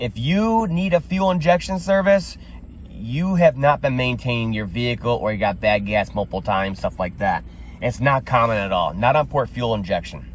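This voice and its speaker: Somewhat breathy, a man's medium-pitched voice moves through very wide pitch swings. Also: moderate pace. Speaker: auto mechanic YouTuber. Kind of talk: casual diagnostic tutorial. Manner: animated.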